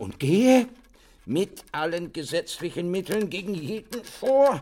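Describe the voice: In a put-on character voice, a man talks at a fairly slow pace with a high pitch, big pitch swings and a dark, mellow tone.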